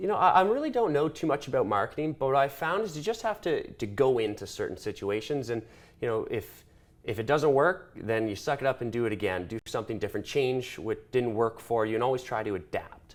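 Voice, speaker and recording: Loud and fairly quick, a man talks with a Canadian accent. His pitch is medium, with very wide swings. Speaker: small business owner. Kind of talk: interview. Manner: animated.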